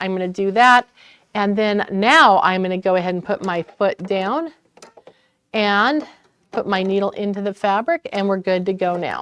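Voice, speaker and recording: The speaker has a normal speaking voice at a moderate pace. The sound is dry and close, with no echo. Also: woman. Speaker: sewing store instructor. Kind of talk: tutorial. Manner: casual.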